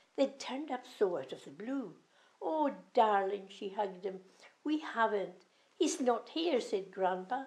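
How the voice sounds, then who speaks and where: At a fairly slow pace, a woman with a Scottish Highland accent speaks in a fairly high voice, her pitch swinging very widely. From Scotland. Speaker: grandmother storyteller. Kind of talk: children's rhyming story reading.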